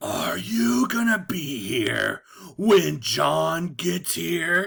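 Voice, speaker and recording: A man does a put-on character voice, growling at a very slow pace with a fairly high pitch. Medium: read story.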